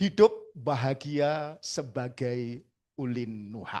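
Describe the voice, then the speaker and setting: A man's voice, fairly high in pitch. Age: 60s. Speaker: religious motivational speaker. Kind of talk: seminar talk. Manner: animated.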